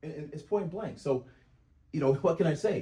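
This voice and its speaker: With an American accent, a man speaks in a fairly high pitch, somewhat breathy, with a dark, mellow tone and lively intonation. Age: 60s. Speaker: self-represented litigant. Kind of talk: courtroom oral argument. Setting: courtroom hearing. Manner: halting, repeats words.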